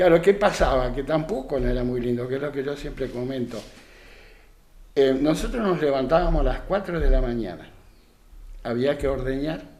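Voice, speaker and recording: Long, frequent pauses from a man with a fairly high pitch, a moderate pace and audible room echo. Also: ordinary pitch variation. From Argentina, Santa Fe province (San Carlos area). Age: 70s. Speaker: retired rural worker and craftsman. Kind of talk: radio interview. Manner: halting, with frequent repetitions.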